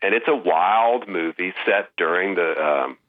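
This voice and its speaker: A normal speaking voice with an American accent and ordinary pitch variation. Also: man. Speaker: film writer. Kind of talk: interview.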